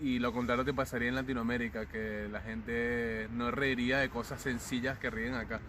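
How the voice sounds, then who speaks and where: A man reads at a fairly slow pace in a medium pitch, his intonation monotone and flat. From Venezuela. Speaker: circus clown and acrobat. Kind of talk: interview answer. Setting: outdoors.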